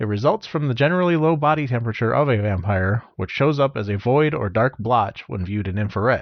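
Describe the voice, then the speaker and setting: With lively intonation and hardly any pauses, a medium-pitched man talks at a very fast pace. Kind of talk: lore explainer narration.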